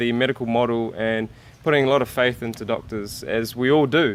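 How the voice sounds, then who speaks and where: A man speaks at a moderate pace with a New Zealand accent. His pitch sits in the medium range, and his intonation stays fairly even. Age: 20s. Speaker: vegan YouTuber. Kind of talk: interview. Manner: halting.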